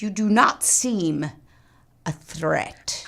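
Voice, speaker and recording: The speaker uses a put-on character voice. The pitch lands in the middle. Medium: audio drama. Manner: proud, vengeful.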